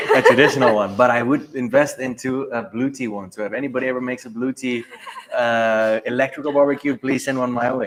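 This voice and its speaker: A man rattles along very fast at a medium pitch, his intonation fairly even, with noticeable background noise around him. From South Africa. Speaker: livestream co-host. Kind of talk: casual chat. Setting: trade show livestream.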